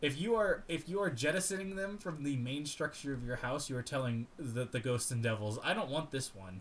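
This man, speaking with an American accent, has a medium-pitched, somewhat breathy voice with very wide pitch swings. He talks at a fairly quick pace with hardly any pauses. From Florida, US. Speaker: podcast co-host. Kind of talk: casual chat.

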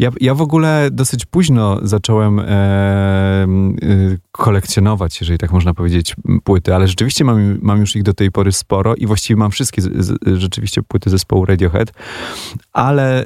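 A man's fairly low pitch with ordinary pitch variation at a fairly quick pace. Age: 40s. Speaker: musician. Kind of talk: radio interview. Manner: halting.

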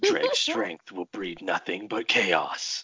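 Using a put-on character voice, a man delivers a raspy, dramatic performance at a fairly low pitch and a very slow pace. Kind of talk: theatrical, announcer-like. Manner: dramatic movie trailer voice.

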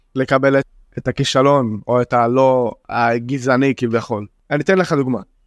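A man speaks with an Arabic accent at a fairly slow pace. His intonation is fairly even, his loudness very even, and the sound dry and close with no echo. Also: medium pitch for a man. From Israel, Jaffa. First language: Arabic (speaking Hebrew). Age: 20s. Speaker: young spoken word poet. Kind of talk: casual interview.

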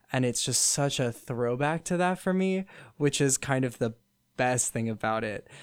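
Recorded very cleanly against a silent background, a man with a plain, everyday voice talks at a medium pitch and a moderate pace. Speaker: student guest. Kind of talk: casual chat about pop music.

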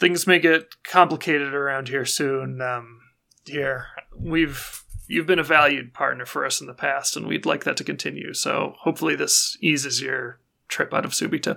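A man does a raspy put-on character voice at a fairly high pitch, keeping a moderate pace and fairly even intonation. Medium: actual play. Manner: terse, measured.

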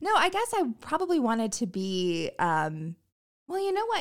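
A woman with an American accent has an unremarkable speaking voice, lively intonation and a moderate pace. The recording is very clean, with a silent background. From US South. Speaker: comedy writer and performer. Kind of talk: casual chat.

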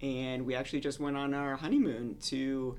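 A man speaks at a moderate pace with a medium pitch. He has an ordinary speaking voice. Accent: American. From Florida. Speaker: medical resident and podcast host. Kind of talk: casual chat.

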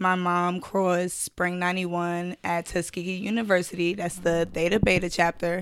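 In a very clean recording with a silent background, a woman with a New York accent talks at a moderate pace in a fairly low, monotone voice with flat intonation. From Brooklyn, New York. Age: 20s. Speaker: schoolteacher and sorority member. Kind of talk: casual chat.

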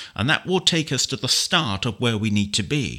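In a British accent, a man with vocal fry and a bright, sharp tone talks at a moderate pace with very wide pitch swings, on a very clean recording with a silent background. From United Kingdom. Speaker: software trainer. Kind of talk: tutorial. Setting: screen reader demo. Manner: clear, instructional.

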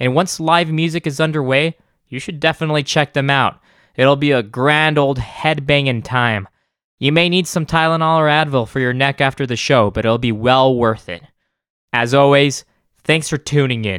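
A man with an American accent and an ordinary speaking voice, fairly high in pitch, at a moderate pace with ordinary pitch variation, on a very clean recording with a silent background. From El Paso, Texas. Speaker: podcast host. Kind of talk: casual interview; scripted outro.

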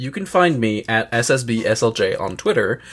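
A man with an Acadian accent, at a fairly slow pace with ordinary pitch variation, on a very clean recording against a silent background. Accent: Acadian Canadian English. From Canada, northeast New Brunswick. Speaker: podcast guest. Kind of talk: casual chat.

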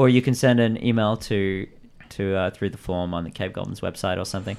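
A man's unremarkable speaking voice, fairly low in pitch and fairly quick, with ordinary pitch variation and big swings in loudness. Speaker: podcast host. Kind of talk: casual chat, improv game play. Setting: live stream with chat, remote.

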